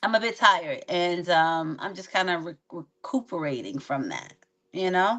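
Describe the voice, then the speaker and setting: Her voice is fairly low for a woman, with a bright, sharp tone and lively intonation. She keeps a moderate pace, and her loudness swings widely. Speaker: podcast co-host. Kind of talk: casual chat. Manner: low energy, halting.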